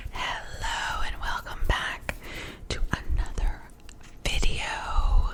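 A woman whispers at a very slow pace with long, frequent pauses. Noticeable background noise sits behind her. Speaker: ASMR artist and Reiki practitioner. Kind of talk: ASMR reiki session. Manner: whispered, soft-spoken.

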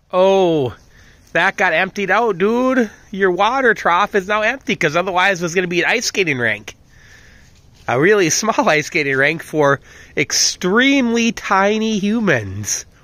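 A man's raised, projected voice, high in pitch with a bright, sharp tone and very wide pitch swings, at a fairly slow pace on a very clean recording with a silent background. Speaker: vlogger, dog owner. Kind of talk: casual monologue to dogs. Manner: self-talk, rambling.

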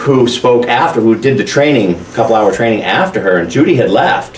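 Audible room echo and light background noise surround a man talking at a moderate pace with lively intonation. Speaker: school administrator giving report. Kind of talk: meeting report. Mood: upbeat, positive. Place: classroom.

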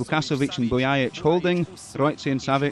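A man's fairly quick, fairly high-pitched speech with ordinary pitch variation amid noticeable background noise. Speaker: football commentator. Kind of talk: live sports commentary.

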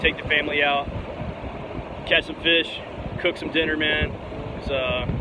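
A man at a moderate pace, dry sound with no echo, noticeable background noise. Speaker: fishing vlogger. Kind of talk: casual vlog chat. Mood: relaxed, content. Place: beach. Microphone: phone near.

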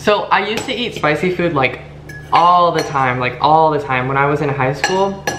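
At a fairly slow pace, a man speaks with ordinary pitch variation, light background noise and audible room echo. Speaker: vlogger. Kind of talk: casual vlog chat. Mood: a bit nervous, animated. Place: home room. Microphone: camera far.

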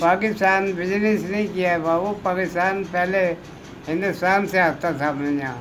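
Fairly even intonation carries over light background noise. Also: man, high pitch for a man. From India, Panipat. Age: 80s+. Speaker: Partition migrant, former cattle and fish trader. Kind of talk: interview answer. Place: home room. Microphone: phone near.

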